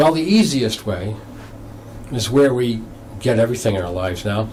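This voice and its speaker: A man speaks with an American accent at a medium pitch and a moderate pace, his pitch varying in an ordinary way. Noticeable background noise and audible room echo fill the recording. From Massachusetts, US. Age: 60s. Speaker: novelist. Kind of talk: interview on local TV show. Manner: halting.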